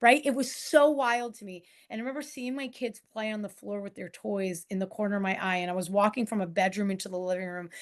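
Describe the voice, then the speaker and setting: A woman with an American accent at a very fast pace, with big swings in loudness. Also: medium pitch for a woman, ordinary pitch variation, hardly any pauses. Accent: New York accent, noticeable now and then. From New York. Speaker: coach and author. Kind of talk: interview.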